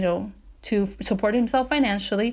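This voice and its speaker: With an American accent, a woman speaks in a fairly high pitch with ordinary pitch variation on a very clean recording with a silent background. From Southeast Los Angeles, California. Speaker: podcast host. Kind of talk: solo podcast monologue. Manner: casual, conversational with fillers.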